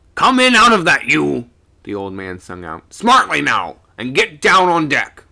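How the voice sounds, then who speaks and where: A man puts on a character voice, fairly high in pitch. His pace is moderate, with big swings in loudness. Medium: read story. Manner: gruff, commanding.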